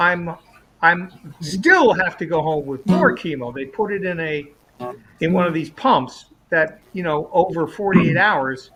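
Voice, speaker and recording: Over music in the background, a man with a high pitch speaks at a fairly slow pace with ordinary pitch variation. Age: 70s. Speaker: musician, regular show participant. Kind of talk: casual chat.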